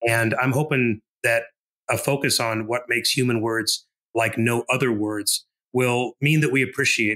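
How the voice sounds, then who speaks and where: In a dry, close sound with no echo, a man speaks at a medium pitch and moderate pace, his bright, sharp tone delivered in a monotone, flat intonation. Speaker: co-founder of a writing project, guest. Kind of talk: interview. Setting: podcast interview. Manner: slight stammer.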